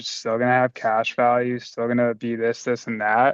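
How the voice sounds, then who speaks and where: This man talks at a moderate pace with a medium pitch. The sound is dry and close with no echo, against a quiet background. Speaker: insurance sales agent sharing call techniques. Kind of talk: sales team training discussion. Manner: monotone, level; calm, neutral.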